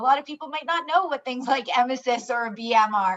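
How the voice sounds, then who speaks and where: A woman talks at a high pitch. Her intonation is lively. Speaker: geriatric resource consultant. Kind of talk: webinar presentation. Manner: fast.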